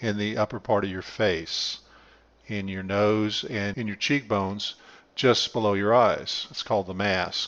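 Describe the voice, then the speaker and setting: This is a plain, everyday voice. It moves at a fairly slow pace. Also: man. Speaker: YouTube channel host. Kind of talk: conversational commentary.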